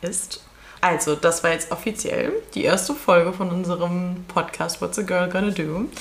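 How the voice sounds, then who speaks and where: A woman's fairly low voice at a moderate pace, fairly even in intonation, against noticeable background noise. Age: 20s. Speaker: podcast co-host. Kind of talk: casual chat.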